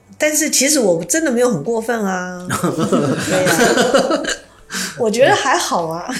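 A woman with a Taiwanese accent speaks very slowly at a fairly high pitch, her voice swinging very widely in pitch, with audible room echo and noticeable background noise. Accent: Taiwanese Mandarin. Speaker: university teacher. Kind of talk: interview conversation.

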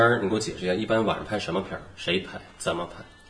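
Noticeable background noise and audible room echo. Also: man. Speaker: film podcast co-host. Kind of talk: casual chat.

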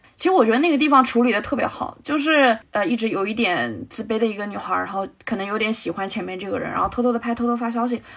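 Against noticeable background noise, a woman talks very fast at a fairly high pitch with hardly any pauses. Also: ordinary pitch variation. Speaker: film podcast guest. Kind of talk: casual film discussion.

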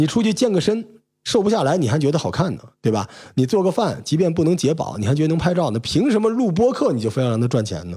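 Over a very clean recording with a silent background, a man with a dark, mellow tone and vocal fry speaks at a very fast pace, his pitch swinging very widely. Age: middle-aged. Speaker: podcast host with media background. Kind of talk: casual chat.

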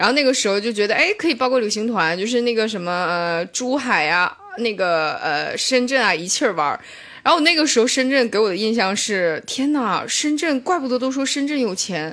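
A fairly quick pace with a northeastern Chinese accent and very wide pitch swings. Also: woman, fairly high pitch for a woman. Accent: northeastern Mandarin. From Shenyang, northeast China. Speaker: stand-up comedian. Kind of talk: casual chat.

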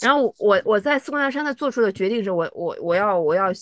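In a dry, close recording with no echo and a quiet background, a woman talks at a fairly quick pace, her fairly high pitch swinging very widely. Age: 40s. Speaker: trail runner and race director. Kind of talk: casual chat.

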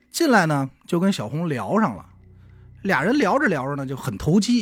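Using very wide pitch swings, a man speaks at a moderate pace with a slight Beijing accent. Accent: Beijing Mandarin, slight. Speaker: podcast co-host telling a true-crime case. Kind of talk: casual storytelling of a crime case. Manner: colloquial with many filler sounds.

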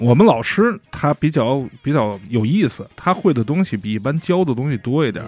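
This man's fairly high voice swings very widely in pitch as he moves at a moderate pace with hardly any pauses. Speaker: podcast guest. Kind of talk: casual chat.

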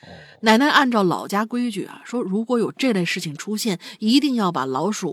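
Here a woman speaks in a normal speaking voice with lively intonation at a moderate pace. The sound is dry and close, with no echo. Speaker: co-host. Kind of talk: casual chat, reading listener stories.

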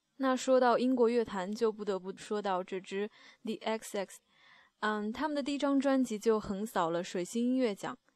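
Her pace is moderate and her pitch varies in an ordinary way, in a normal speaking voice from a woman. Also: fairly high pitch for a woman, very clean recording, silent background. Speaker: music radio host. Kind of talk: music show links. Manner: calm, relaxed.

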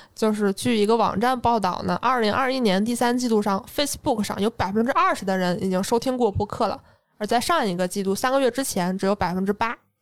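Using a plain, everyday voice, a woman talks at a fairly quick pace with hardly any pauses, her fairly high pitch varying in an ordinary way. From Northeast China, Jilin. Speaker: podcast host. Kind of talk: casual chat.

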